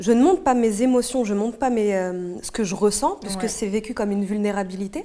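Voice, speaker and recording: A woman with a normal speaking voice, fairly high in pitch, at a fairly quick pace, with ordinary pitch variation. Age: 20s. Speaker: aspiring journalist. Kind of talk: casual chat.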